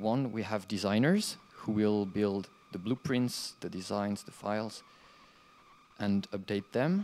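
Speaking with a French accent, a man talks at a fairly low pitch and fairly slow pace with ordinary pitch variation. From France. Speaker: conference speaker, game developer and hardware entrepreneur; conference presenter. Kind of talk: conference talk. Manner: halting. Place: classroom.

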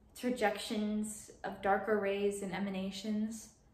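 The room echo can be heard clearly. A woman is talking fairly slowly. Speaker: actor. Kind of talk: monologue performance. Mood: dreamy, wistful delivery. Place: home room. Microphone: camera far.

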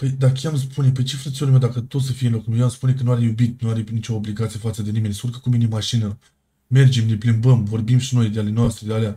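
A man's somewhat breathy, dark, mellow voice at medium pitch, very fast and in a monotone, flat intonation. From Iași, Romania. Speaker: game streamer in roleplay. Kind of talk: in-character roleplay argument.

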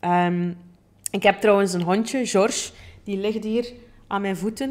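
A woman's medium-pitched voice with a Flemish accent, fairly even intonation and a moderate pace. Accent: Flemish Dutch. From Flanders, Belgium. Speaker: podcast host, plant-based chef and coach; podcast host. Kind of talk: personal storytelling monologue. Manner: casual with many fillers. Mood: warm, cheerful. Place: studio. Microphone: studio mic.

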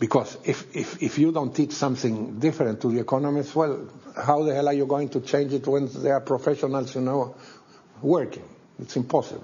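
The speaker talks at a fairly quick pace with a Spanish accent and sounds somewhat breathy. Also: man. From Chile. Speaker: economist; interviewee. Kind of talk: interview. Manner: animated; halting. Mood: critical, emphatic. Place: studio.

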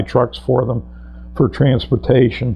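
A man with an American accent, over music in the background. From Connecticut, US. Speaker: war veteran. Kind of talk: oral history interview. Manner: hesitant, with many fillers.

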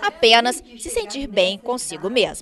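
With noticeable background noise behind her, a woman talks at a fairly slow pace, her fairly high pitch moving in lively intonation. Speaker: TV news reporter. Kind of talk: TV news report narration.

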